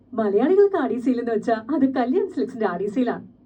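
Over noticeable background noise, a woman speaks in a fairly high pitch with very wide pitch swings. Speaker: dubbing artist. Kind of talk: TV commercial read. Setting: studio.

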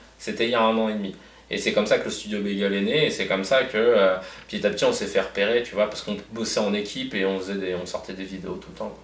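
Very fast speech comes from a man with a fairly low pitch and fairly even intonation. There is audible room echo. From Paris, 19th arrondissement. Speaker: comedian. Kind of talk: casual interview. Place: office.

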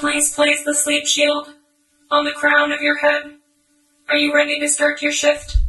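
Over music in the background, a high-pitched voice speaks in a flat monotone, with long, frequent pauses. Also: moderate pace. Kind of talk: guided hypnosis meditation. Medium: audio drama. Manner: slow, soft, soothing.

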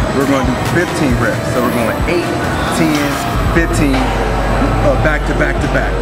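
Over loud background music, a man keeps to a moderate pace. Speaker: fitness trainer. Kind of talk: tutorial. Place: gym. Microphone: phone near.

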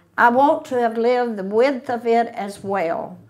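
A woman with a high voice talks at a fairly slow pace with lively intonation. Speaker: speaker. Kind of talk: prepared talk read aloud. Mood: warm, spirited.

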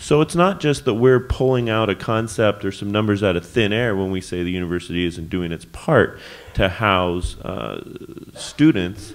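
In an American accent, a man talks in a fairly low pitch with ordinary pitch variation. It is an ordinary speaking voice. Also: moderate pace. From Davis, California; California. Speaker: city council candidate; council candidate. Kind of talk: candidate forum debate. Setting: church hall with live audience. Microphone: podium.

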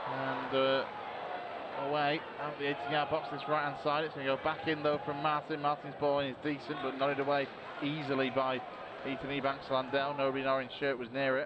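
Noticeable background noise sits behind a man's voice. His pitch is fairly high and his intonation monotone and flat. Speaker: match commentator. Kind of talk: live match commentary. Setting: stadium commentary, recorded match highlights. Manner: fast, fluent play-by-play, rattling through passes and names.

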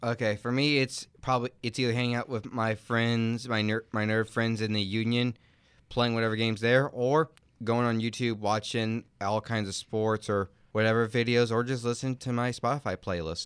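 On a very clean recording with a silent background, a man talks at a medium pitch and moderate pace in a monotone, flat intonation, the sound dry and close with no echo. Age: 20s. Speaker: college student. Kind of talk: casual chat. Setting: studio.

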